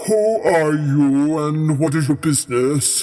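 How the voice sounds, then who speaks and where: Doing a put-on character voice, a man talks fairly slowly at a fairly high pitch with ordinary pitch variation. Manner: kingly, commanding.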